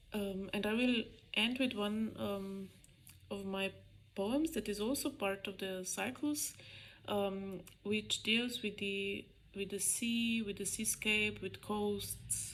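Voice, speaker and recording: A woman with a Slovene accent, medium pitch, ordinary pitch variation and a very slow pace. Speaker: poet. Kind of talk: poetry reading.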